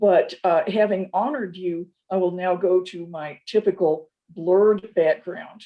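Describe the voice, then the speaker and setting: Speaking at a medium pitch with hardly any pauses, a woman keeps fairly even intonation while her loudness swings widely. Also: fairly slow pace. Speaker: professor. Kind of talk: academic lecture read partly from a script. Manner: slower than usual, careful consonants; slightly stilted, read from a script.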